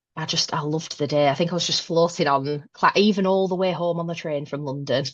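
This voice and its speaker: In a Northern English accent, a woman talks at a very fast pace with a fairly low pitch and fairly even intonation. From northern England, Northwest. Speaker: manager. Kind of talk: podcast interview.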